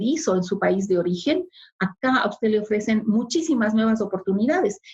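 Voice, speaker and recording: A woman with a fairly high pitch and a somewhat breathy voice speaks at a fairly quick pace with ordinary pitch variation. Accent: Spanish. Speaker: immigrant sharing experience. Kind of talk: interview. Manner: formal.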